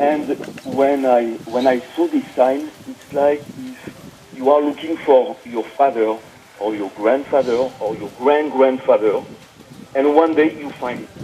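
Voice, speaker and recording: A man talks very slowly in a French accent, his intonation fairly even. His loudness swings widely, and background noise is noticeable. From France. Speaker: interview guest. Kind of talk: personal testimony. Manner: halting, many fillers.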